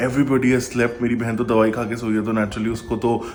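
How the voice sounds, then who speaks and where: Amid audible room echo and noticeable background noise, a man talks at a very fast pace. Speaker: vlogger. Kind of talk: casual vlog talk to camera. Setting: at home at night, self-recorded. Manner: animated.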